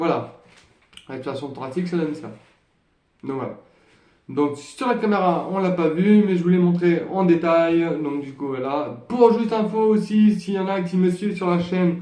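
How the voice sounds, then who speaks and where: A man with a high pitch speaks at a moderate pace with ordinary pitch variation, leaving long, frequent pauses. Room echo is audible. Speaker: trumpet teacher. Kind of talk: tutorial. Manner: halting, many fillers.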